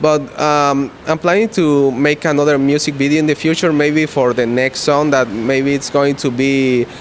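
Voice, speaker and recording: Noticeable background noise accompanies a man. He speaks at a fairly slow pace with ordinary pitch variation. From Guatemala. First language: Spanish. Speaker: rock musician. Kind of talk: interview. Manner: halting.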